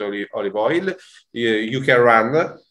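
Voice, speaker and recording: Using an Italian accent, a man speaks at a moderate pace and medium pitch with ordinary pitch variation. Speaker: food producer representative. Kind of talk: webinar presentation. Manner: halting.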